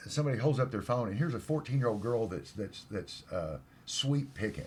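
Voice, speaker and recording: A man with vocal fry talks fairly quickly at a medium pitch, his intonation lively. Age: 60s. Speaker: guitarist. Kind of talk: casual chat.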